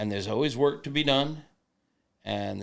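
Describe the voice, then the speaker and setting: A man with an American accent speaks with vocal fry and ordinary pitch variation. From Florida. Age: 70s. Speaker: barbecue author and website founder. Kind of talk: podcast interview. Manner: halting, many fillers.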